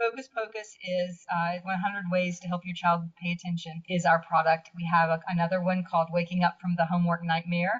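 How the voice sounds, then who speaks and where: A woman talks at a fairly quick pace in a somewhat breathy voice with monotone, flat intonation. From US South. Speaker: blogger. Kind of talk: interview. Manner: halting.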